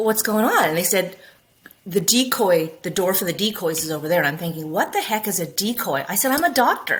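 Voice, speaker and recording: In an American accent, a woman of medium pitch talks at a fairly quick pace with lively intonation and an animated tone. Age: 50s. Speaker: optometrist. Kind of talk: interview.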